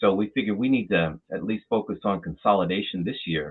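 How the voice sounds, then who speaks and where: With an American accent, the speaker uses a normal speaking voice, ordinary pitch variation and a moderate pace. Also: man. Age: 60s. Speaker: trade association president. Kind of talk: interview.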